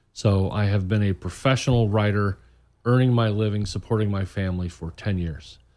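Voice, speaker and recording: A man with an American accent speaks in an ordinary speaking voice, fairly low in pitch, at a moderate pace. His intonation stays fairly even, and the very clean recording has a silent background. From Indiana, US Midwest. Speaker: author. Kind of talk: casual radio interview. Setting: studio.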